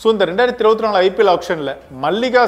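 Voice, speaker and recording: A man's voice with ordinary pitch variation and faint music in the background. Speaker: sports news presenter. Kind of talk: cricket news commentary to camera. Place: studio. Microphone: lapel.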